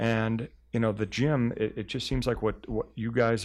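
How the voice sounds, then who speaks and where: On a very clean recording with a silent background, a man with an unremarkable speaking voice talks at a moderate pace and a medium pitch. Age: 50s. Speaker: meat company executive. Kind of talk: casual interview. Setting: studio.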